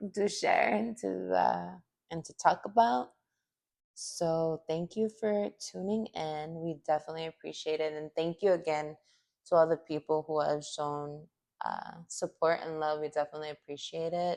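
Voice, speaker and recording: A woman with a very deep, low pitch speaks with lively intonation over a quiet background. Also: moderate pace. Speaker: podcast co-host. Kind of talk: casual chat. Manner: casual, filler-heavy.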